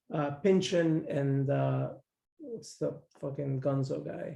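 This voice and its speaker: Somewhat breathy, this voice comes from a man. His pitch is fairly high. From Mexico. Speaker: podcast guest. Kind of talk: casual chat. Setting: living room.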